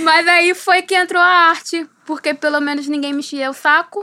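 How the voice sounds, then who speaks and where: A raised, projected voice speaks at a fairly slow pace with fairly even intonation. The recording is very clean, with a silent background. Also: woman. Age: 20s. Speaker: philosophy student, visual artist and writer. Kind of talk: interview.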